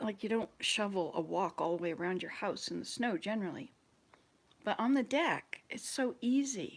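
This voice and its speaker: At a moderate pace, a woman with an unremarkable speaking voice talks at a medium pitch with lively intonation. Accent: American. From US South, Georgia. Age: 60s. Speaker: vlogger. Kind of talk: casual chat.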